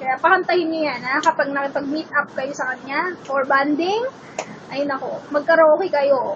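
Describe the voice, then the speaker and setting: Animated tone from a woman at a moderate pace, with noticeable background noise. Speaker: beauty vlogger. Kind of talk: vlog chat. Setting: bedroom at home. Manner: loud.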